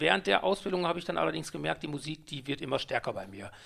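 A man talks at a very fast pace with a fairly high pitch. Vocal fry runs through his voice. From Ruhr area, Germany (Mülheim an der Ruhr). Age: 50s. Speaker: DJ and event organizer. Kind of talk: interview.

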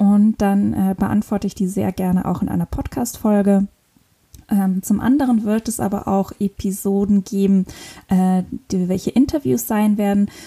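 A woman with a somewhat breathy, dark, mellow tone talks at a moderate pace with ordinary pitch variation, the sound dry and close with no echo. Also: medium pitch for a woman. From northern Luxembourg. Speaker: podcast host. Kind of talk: solo podcast monologue. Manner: hesitant, many fillers.

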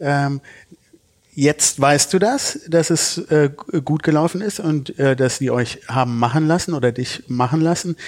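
A man with a plain, everyday voice, fairly high in pitch, at a fairly slow pace with ordinary pitch variation. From Düsseldorf, Germany. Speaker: podcast host. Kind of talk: interview.

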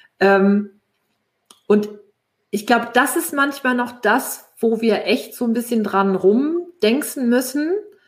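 Pausing long and often, a woman with a fairly high voice speaks at a very slow pace with ordinary pitch variation. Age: 40s. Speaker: networking consultant and author. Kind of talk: casual interview chat. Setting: LinkedIn live stream. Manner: many fillers, halting.

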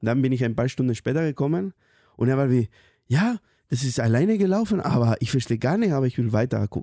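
A man with a Spanish accent, dark and mellow at medium pitch, very fast and lively in intonation, in a dry, close sound with no echo and a very clean recording with a silent background. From Spain. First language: Spanish (speaking German). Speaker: intern. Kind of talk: casual chat. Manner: halting.

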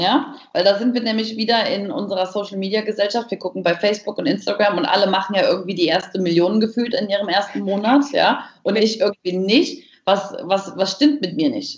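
This woman's voice sits at a medium pitch and is somewhat breathy. She moves at a moderate pace with lively intonation. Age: 30s. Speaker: business coach and speaker. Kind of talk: interview. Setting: video call.

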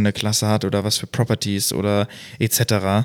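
Male speech captured on a very clean recording, the background silent. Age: 20s. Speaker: podcast co-host, software developer. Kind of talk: casual chat.

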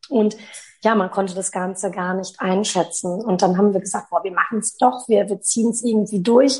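A woman's somewhat breathy voice, medium in pitch, keeps fairly even intonation at a moderate pace. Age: 30s. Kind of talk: interview.

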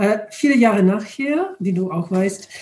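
A woman with an English accent speaks at medium pitch. Her tone is dark, mellow and somewhat breathy. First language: English (speaking German). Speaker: retired charity director, European volunteering advocate. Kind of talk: interview. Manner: halting, hesitant.

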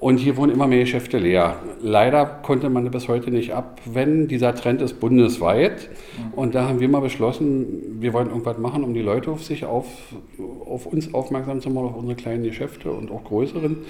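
Noticeable background noise surrounds a man with a medium pitch. He talks at a fairly quick pace with ordinary pitch variation. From Berlin. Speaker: restaurant owner. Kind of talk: interview.

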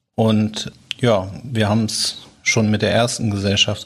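On a very clean recording with a silent background, a man speaks at a fairly low pitch in a somewhat breathy voice with monotone, flat intonation. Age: 40s. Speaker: company founder and managing director. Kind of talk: podcast interview.

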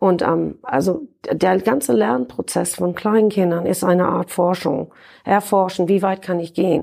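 A woman's dark, mellow voice at medium pitch, with vocal fry, lively intonation and a fairly slow pace. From Ireland. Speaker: marine scientist, professor. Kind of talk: interview.

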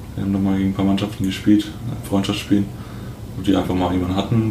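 A man speaks with monotone, flat intonation. Noticeable background noise and audible room echo are present. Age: 20s. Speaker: amateur basketball player. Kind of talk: casual chat.

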